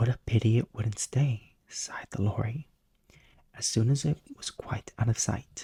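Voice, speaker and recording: Soft-spoken whispering delivered at a fairly slow pace. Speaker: bedtime story narrator. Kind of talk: sleep story, audiobook-style reading. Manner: soft-spoken, whispery.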